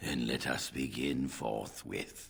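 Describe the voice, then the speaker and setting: A man puts on a raspy character voice with a very deep, low pitch. Light background noise can be heard. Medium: video game. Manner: formal, measured.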